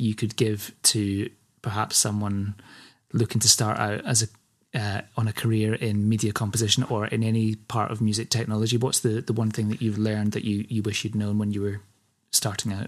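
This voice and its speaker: A man with a Scottish accent speaks at a medium pitch and a moderate pace. The recording is very clean, with a silent background. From Scotland. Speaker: podcast host. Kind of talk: interview conversation.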